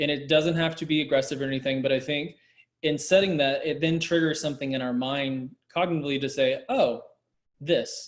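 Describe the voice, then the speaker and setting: A man talks at a fairly quick pace. His pitch is fairly high, and his intonation fairly even. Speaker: discussion panelist. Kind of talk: panel discussion.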